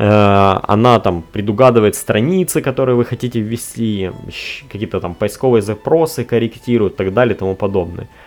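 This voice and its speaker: Moderate pace and ordinary pitch variation. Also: man, fairly low pitch for a man. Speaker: tech podcast host. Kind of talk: solo podcast monologue. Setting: recorded on a tablet. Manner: casual, with frequent filler sounds.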